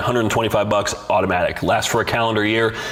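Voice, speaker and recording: A man speaks at a very fast pace with a medium pitch. Noticeable background noise and audible room echo fill the recording. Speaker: bodybuilding coach and podcast host. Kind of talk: live-streamed solo podcast answering viewer questions. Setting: live stream. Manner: casual, many fillers.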